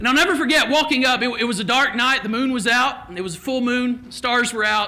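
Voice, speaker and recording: A man's raised, projected voice with an extremely high pitch and a Kentucky accent, very fast delivery, ordinary pitch variation, and noticeable background noise. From Kentucky, Lexington area. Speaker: keynote speaker. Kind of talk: keynote speech with personal story.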